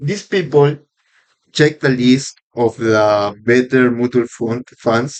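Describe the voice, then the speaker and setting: A man speaks in a Spanish accent. His pitch is medium and his pace fairly slow. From Peru. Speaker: podcaster practicing English. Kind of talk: casual monologue podcast. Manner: halting, with fillers and self-corrections.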